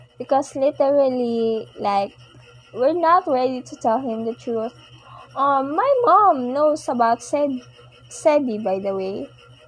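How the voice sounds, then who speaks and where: A woman with a high voice speaks very slowly and with lively intonation, leaving long, frequent pauses over noticeable background noise. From Philippines. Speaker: podcast host. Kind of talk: personal monologue. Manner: soft-spoken; halting.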